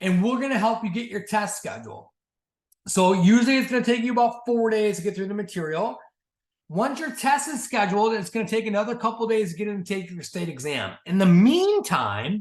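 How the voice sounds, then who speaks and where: A man speaks at a high pitch with ordinary pitch variation. His pace is fairly quick. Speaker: sales team leader and coach. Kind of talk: orientation training talk. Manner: fast.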